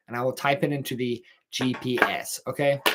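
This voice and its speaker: A man with a Texan accent and a bright, sharp tone. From Texas. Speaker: podcast host. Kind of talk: casual monologue. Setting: livestream at home. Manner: mumbling. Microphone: camera moved closer for better audio.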